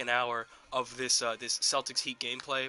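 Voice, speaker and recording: A man is speaking. Music plays in the background. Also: dry, close sound with no echo. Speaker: gaming streamer. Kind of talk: live gameplay stream. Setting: on camera, live stream. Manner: slurred words.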